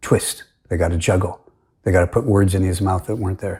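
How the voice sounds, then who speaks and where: A man speaks at a fairly quick pace in a fairly low pitch, his somewhat breathy voice dark and mellow, on a very clean recording with a silent background. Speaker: religious commentator. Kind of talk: monologue argument video. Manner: halting.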